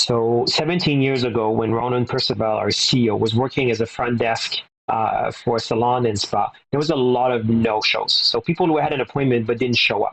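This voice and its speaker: A man with a French Canadian accent talks at a very fast pace, his pitch medium and his pitch variation ordinary. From Quebec (Verdun, Montreal). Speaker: business executive. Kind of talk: interview.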